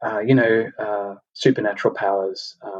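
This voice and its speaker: Flat and monotone, this man speaks in an Australian accent at a fairly low pitch. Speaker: podcast host. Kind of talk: casual chat. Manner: halting, many fillers and repetitions.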